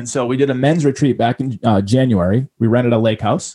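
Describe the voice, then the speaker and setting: A man with an American accent talks at a fairly quick pace in a medium pitch, his dark, mellow tone captured dry and close with no echo on a very clean recording against a silent background. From Boston. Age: 30s. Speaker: entrepreneur and podcaster. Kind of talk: interview. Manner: animated.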